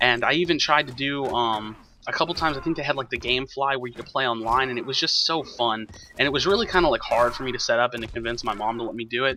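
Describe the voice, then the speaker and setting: Over noticeable background noise, a man with an American accent speaks very fast at medium pitch, with ordinary pitch variation. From Texas, Houston area. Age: 20s. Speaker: gaming YouTuber. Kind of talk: gameplay commentary, personal intro. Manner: casual, hesitant with fillers.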